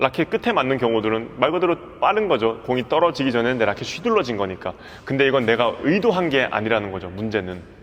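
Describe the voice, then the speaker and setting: Very rapid male speech, pitch leaping over a very wide range. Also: medium pitch for a man. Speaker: badminton coach. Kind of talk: tutorial. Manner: fast; animated.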